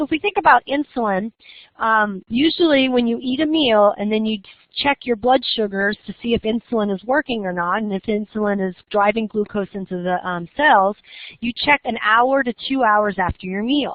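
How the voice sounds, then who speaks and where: A woman's normal speaking voice, fairly high in pitch with ordinary pitch variation, at a moderate pace. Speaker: college biology professor. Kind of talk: lecture.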